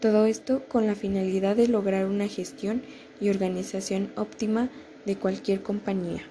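Speaking at a moderate pace, a woman uses a medium pitch and fairly even intonation in an unremarkable speaking voice. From Mexico, State of Mexico (Toluca). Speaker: university student. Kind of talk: class assignment presentation.

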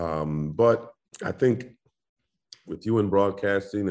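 A man with an American accent talks over a quiet background. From Indianapolis, US Midwest. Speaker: basketball play-by-play announcer. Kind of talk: casual interview chat.

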